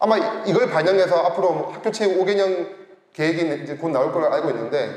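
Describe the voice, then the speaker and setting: Loud and animated, a man speaks at a high pitch and a fairly quick pace, with audible room echo and noticeable background noise. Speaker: researcher presenting at a forum. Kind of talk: conference presentation. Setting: forum stage with audience.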